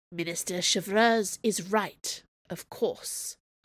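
A female-sounding put-on character voice at a medium pitch speaks at a very slow pace on a very clean recording with a silent background. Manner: weak, labored.

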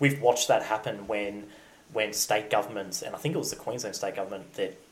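Speaking with an Australian accent, a man uses a fairly low pitch and fairly even intonation. His pace is moderate. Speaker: podcast co-host. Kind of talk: casual chat.

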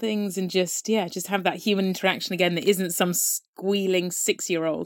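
With a southern English accent, a woman talks at a fairly quick pace on a very clean recording with a silent background. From Devon, southwest England. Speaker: wildlife conservation researcher. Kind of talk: casual interview.

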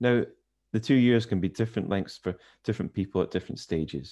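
Over a quiet background, a man with a Scottish accent speaks at a fairly quick pace. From Scottish Highlands, Inverness. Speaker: corporate communications head. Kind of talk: interview. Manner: easy-going, understated.

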